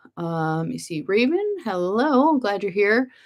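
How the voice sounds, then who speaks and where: A woman speaks with lively intonation and an animated tone. The recording is very clean, with a silent background. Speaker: homesteading channel host. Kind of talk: livestream chat reading viewer comments. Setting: at home computer, livestream. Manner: fast.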